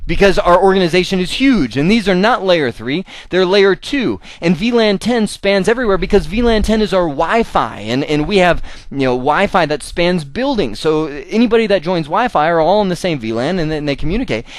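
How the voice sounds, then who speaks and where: Here a man talks at a high pitch. His tone is animated, with lively intonation. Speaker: IT networking instructor. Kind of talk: lecture. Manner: fast.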